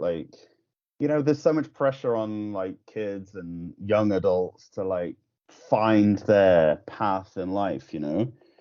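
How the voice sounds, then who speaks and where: This speaker has an English accent, and the pitch swings very widely. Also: man. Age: 30s. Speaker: musician. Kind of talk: casual chat. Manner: halting.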